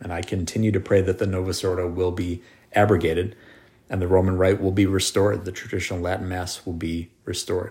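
A man speaks at a fairly quick pace in a very deep, low, somewhat breathy voice with monotone, flat intonation. The recording is very clean, with a silent background. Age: 40s. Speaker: podcast host. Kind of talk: casual chat.

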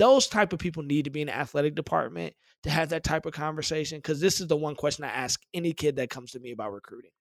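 A man speaks at a very fast pace with hardly any pauses, his fairly high pitch showing ordinary variation and big swings in loudness. The recording is very clean with a silent background and a dry, close sound with no echo. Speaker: sports podcast host. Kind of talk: casual chat.

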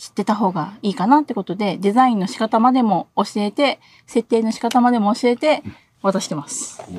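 A woman's fairly high, somewhat breathy voice at a moderate pace, with ordinary pitch variation, big swings in loudness and a dry, close sound with no echo. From Okinawa. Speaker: designer. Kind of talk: casual interview. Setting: live stream.

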